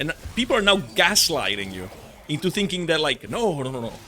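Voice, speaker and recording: Amid noticeable background noise, a man speaks in a raised, projected voice at a moderate pace, with very wide pitch swings. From Italy. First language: Italian. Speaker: gaming content creator. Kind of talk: gameplay commentary with rant. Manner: hesitant, many fillers; animated, passionate.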